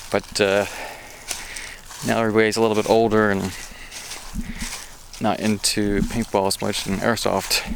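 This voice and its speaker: At a moderate pace but with long, frequent pauses, a man speaks in a fairly low, monotone voice with flat intonation over noticeable background noise. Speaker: gun channel vlogger. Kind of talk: walking vlog tour. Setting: outdoors. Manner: not loud.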